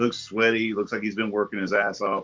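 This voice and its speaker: A man talks at a moderate pace with a fairly low pitch. He has an ordinary speaking voice. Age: 50s. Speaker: panelist. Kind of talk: casual chat.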